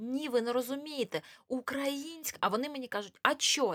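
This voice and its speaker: The tone is bright and sharp, the pace fairly slow, and the sound dry and close with no echo. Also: woman. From eastern Ukraine, Luhansk region. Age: 30s. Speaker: cosmetologist. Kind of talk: casual interview. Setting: studio.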